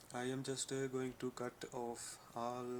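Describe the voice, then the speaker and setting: Over noticeable background noise, a man speaks at a medium pitch. His intonation is monotone and flat. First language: not English. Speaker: vlogger. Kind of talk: personal vlog. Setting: talking to camera. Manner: halting, many fillers.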